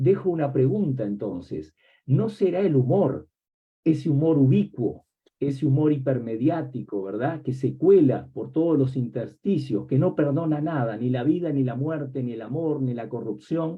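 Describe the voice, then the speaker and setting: At a fairly slow pace, a man of medium pitch speaks with lively intonation. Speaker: academic book presenter, semiotics professor. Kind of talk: academic book presentation talk. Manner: reflective, with many rhetorical questions.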